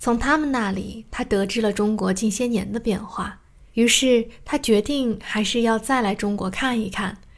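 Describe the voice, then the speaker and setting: Using an unremarkable speaking voice, a woman talks at a fairly slow pace with a fairly high pitch and fairly even intonation. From Shanghai, China. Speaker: podcast host and storyteller. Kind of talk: scripted narration.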